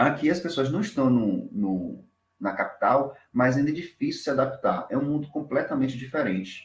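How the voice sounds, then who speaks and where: A man's somewhat breathy voice comes with lively intonation. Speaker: doctoral researcher. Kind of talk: academic presentation. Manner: fast.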